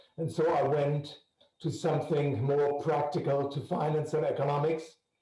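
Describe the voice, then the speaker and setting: Audible room echo surrounds a man whose fairly high voice holds monotone, flat intonation. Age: 70s. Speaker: arts patron. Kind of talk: video call introduction.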